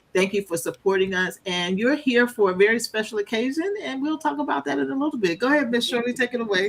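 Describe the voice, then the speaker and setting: Talking very fast with hardly any pauses, a woman with a fairly high pitch swings her pitch very widely over noticeable background noise. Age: 60s. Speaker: podcast host. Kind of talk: casual chat. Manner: animated.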